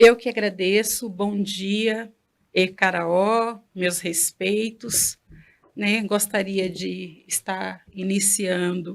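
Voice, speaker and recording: A woman with a Bahian accent, very slow, at medium pitch and in a monotone, flat intonation. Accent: Bahian (northeastern Brazilian). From Bahia, Brazilian Northeast. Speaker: Candomblé priestess. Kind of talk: interview.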